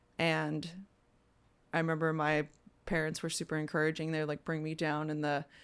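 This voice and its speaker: Recorded very cleanly over a silent background, a speaker with an American accent talks at a moderate pace in a monotone, flat intonation. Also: woman. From Virginia (Stafford). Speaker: musician. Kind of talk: casual chat.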